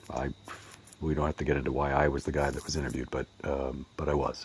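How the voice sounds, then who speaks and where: A man speaks at a very fast pace. His voice has vocal fry. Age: 50s. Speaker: audience member asking a question. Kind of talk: question in an online audio room. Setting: online audio chat room. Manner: halting.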